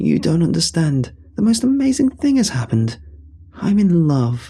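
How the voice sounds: A man puts on a character voice, fairly high in pitch with big pitch swings, delivered fairly slowly in a dark, mellow tone with a slightly husky edge.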